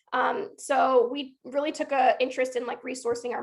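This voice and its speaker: A woman's high-pitched voice with an American accent. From US South, Georgia. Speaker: workshop facilitator. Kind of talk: online workshop presentation. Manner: fast.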